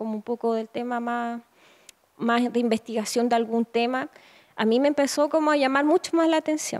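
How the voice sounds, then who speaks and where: Against a quiet background, a woman with a Chilean accent speaks at a fairly quick pace, high in pitch, with fairly even intonation. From northern Chile. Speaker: photographer. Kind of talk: interview. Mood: reflective, calm. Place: home room. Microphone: handheld.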